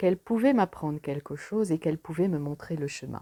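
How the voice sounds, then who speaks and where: A woman's fairly low, dark and mellow voice with lively intonation, dry and close with no echo, on a very clean recording over a silent background. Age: 60s. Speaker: pharmacist, coaching client. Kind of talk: testimony.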